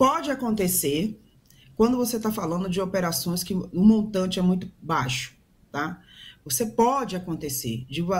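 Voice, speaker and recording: A somewhat breathy woman with a Brazilian accent. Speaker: professor and businesswoman. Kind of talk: news panel commentary.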